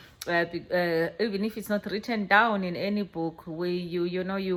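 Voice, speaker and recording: A woman with a South African accent speaks at a moderate pace. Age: 50s. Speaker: vlogger. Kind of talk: reflective monologue. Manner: halting, with many repetitions.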